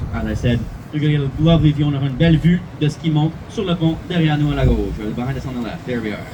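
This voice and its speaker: A man's fairly high voice, very fast and animated, with ordinary pitch variation and noticeable background noise. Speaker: bilingual bus tour guide. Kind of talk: live guided tour commentary. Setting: tour bus.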